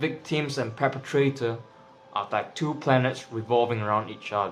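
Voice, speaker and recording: With music playing behind him, a man with a non-native accent talks at a moderate pace and medium pitch, his intonation fairly even. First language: not English. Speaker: tarot reader. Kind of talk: tarot reading monologue. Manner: casual, with filler words.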